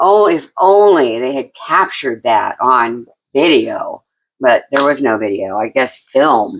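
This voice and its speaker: A woman speaks with a very deep, low pitch at a fairly slow pace. Her pitch swings very widely. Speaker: podcast co-host. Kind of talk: casual chat. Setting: podcast recording with husband.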